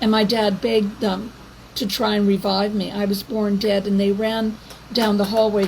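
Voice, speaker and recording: Over noticeable background noise, a woman speaks at a moderate pace in a flat monotone. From Canada. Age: 70s. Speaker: activist vlogger. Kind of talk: monologue to camera. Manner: halting.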